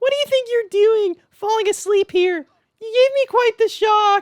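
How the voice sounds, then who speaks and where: At a moderate pace, someone does a put-on character voice pitched extremely high. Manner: startled, scolding.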